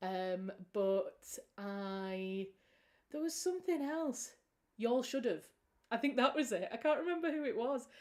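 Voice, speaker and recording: A high-pitched woman with a British accent, at a fairly slow pace, with very wide pitch swings and long, frequent pauses. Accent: British accent, remarked by a viewer. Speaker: author and writing livestream host. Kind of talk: casual livestream chat. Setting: livestream from home. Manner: warm, chatty.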